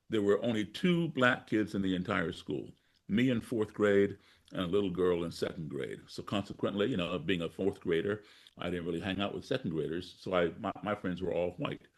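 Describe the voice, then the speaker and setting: A man with a fairly low pitch talks at a fairly quick pace in a plain, everyday voice, with ordinary pitch variation over a quiet background. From US, grew up partly abroad as embassy child. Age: 60s. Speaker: blues musician and activist. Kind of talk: interview storytelling.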